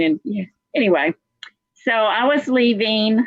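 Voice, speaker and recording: A woman at a fairly slow pace, with an American accent. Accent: Texas accent, some think it thick. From South Carolina, then Texas (Dallas) from age 13. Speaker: motivational speaker's daughter, guest. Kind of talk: interview storytelling. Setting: live video stream.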